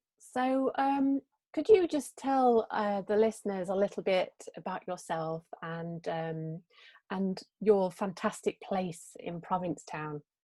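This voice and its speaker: On a very clean recording with a silent background, a woman at medium pitch speaks with a dark, mellow tone and lively intonation. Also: fairly slow pace, dry, close sound with no echo. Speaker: podcast host, sculptor. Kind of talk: interview. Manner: hesitant, stammering.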